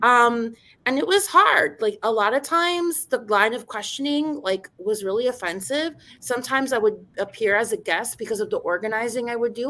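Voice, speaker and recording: In a very clean recording with a silent background, the speaker uses an animated, bright, sharp tone, lively intonation and a moderate pace. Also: woman, high pitch for a woman. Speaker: radio journalist and university teacher. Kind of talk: panel discussion.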